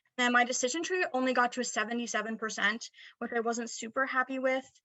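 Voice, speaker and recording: With a quiet background, a woman talks at a fairly quick pace in a high pitch with ordinary pitch variation. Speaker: student presenter; presenter. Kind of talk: academic presentation; recorded presentation. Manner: fast; hesitant fillers. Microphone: webcam.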